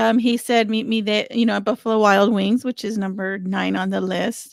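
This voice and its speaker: A woman speaks in a plain, everyday voice, fairly high in pitch with fairly even intonation. The sound is dry and close with no echo. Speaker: podcast host. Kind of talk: casual chat.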